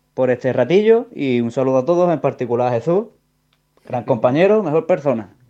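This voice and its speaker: A man's dark, mellow tone with lively intonation at a moderate pace. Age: 30s. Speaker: listener sending audio message. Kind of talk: voice message.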